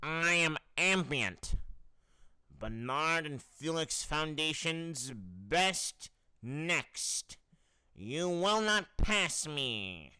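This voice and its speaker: A man puts on a character voice at a fairly high pitch. He goes at a very slow pace with lively intonation. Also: very clean recording, silent background. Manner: funny, exaggerated.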